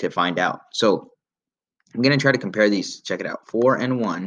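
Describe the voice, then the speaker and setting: A man speaks at a fairly quick pace in a plain, everyday voice. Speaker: math teacher. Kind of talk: tutorial.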